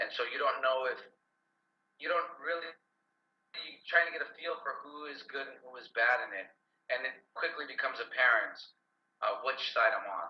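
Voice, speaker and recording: This man speaks at a moderate pace, pausing often and at length. His loudness swings widely. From Los Angeles, US, with childhood years in Colombia and Guatemala. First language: Spanish. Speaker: actor. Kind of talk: interview. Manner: conversational with some repetitions.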